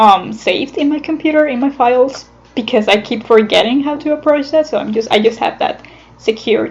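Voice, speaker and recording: Talking at a fairly quick pace, a woman with a non-native accent uses a high pitch with ordinary pitch variation. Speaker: animator. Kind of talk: casual talk about own animation process. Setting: recorded on computer without a microphone. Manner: hesitant, many fillers.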